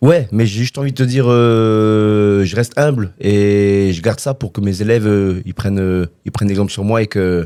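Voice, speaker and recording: A man with a dark, mellow tone speaks at a moderate pace. He shows ordinary pitch variation and hardly any pauses. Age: 40s. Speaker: retired kickboxing champion and coach. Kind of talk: interview. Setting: studio.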